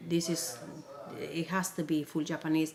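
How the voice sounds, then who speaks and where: Against noticeable background noise, a woman with a Spanish accent speaks at a moderate pace in a very deep, low pitch. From Peru. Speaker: multilingual mother. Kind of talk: interview. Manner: halting.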